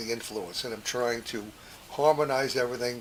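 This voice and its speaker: A man's medium-pitched voice with ordinary pitch variation, audible room echo and noticeable background noise. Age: 70s. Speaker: podcast host. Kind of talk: memoir monologue. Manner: halting, many fillers.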